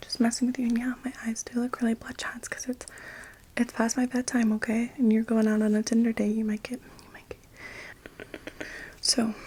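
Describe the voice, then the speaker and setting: Soft-spoken and monotone, this voice keeps a flat intonation at a moderate pace. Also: woman. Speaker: hairdresser in roleplay. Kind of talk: ASMR haircut roleplay.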